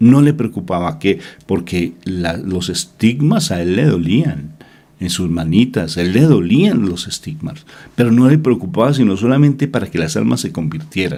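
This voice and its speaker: At a fairly slow pace, a man with a Colombian accent speaks in a medium pitch marked by very wide pitch swings. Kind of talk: religious reflection. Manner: emotive.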